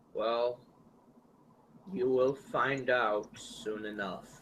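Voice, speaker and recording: In a put-on character voice, a man speaks at a very slow pace with a medium pitch. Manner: ominous.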